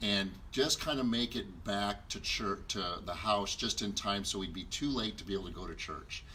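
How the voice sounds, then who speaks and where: This man talks at a moderate pace in a fairly low voice, with a bright, sharp tone and vocal fry. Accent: Southwestern US. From Arizona, Glendale area. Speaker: marriage ministry co-host. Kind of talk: personal testimony. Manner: hesitant, many fillers.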